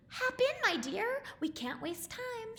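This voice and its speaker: A woman puts on a squeaky character voice at an extremely high pitch. She speaks at a fairly slow pace over light background noise. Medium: read story. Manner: warm, fussing.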